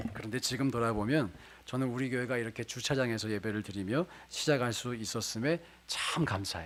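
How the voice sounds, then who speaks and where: A man speaks at a moderate pace. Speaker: pastor. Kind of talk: sermon.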